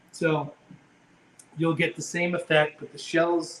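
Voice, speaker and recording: Fairly high-pitched male speech with an American accent. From Maine, US. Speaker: seafood company founder. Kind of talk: live cooking demonstration. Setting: kitchen, live stream.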